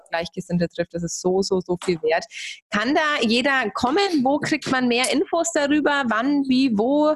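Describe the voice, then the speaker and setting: A woman talks at a moderate pace with lively intonation. The sound is dry and close, with no echo. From Germany. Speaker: podcast host. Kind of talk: interview.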